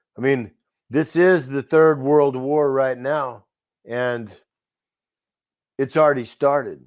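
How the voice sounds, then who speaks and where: Speaking very slowly with long, frequent pauses, a man with a Texan accent uses a fairly high pitch and fairly even intonation. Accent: Texan American. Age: 60s. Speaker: interview guest. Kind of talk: casual chat.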